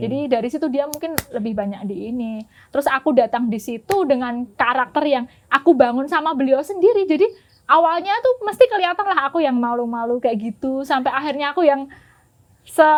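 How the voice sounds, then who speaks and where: A woman talks at a fairly quick pace. Her pitch is high and her intonation lively. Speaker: puppet master and traditional singer. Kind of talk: interview answer.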